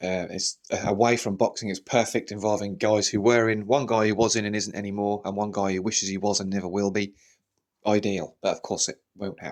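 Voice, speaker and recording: Over a silent background in a very clean recording, a man talks in a fairly low pitch with monotone, flat intonation. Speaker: boxing channel host. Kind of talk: solo commentary podcast. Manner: fast; unscripted, off the cuff.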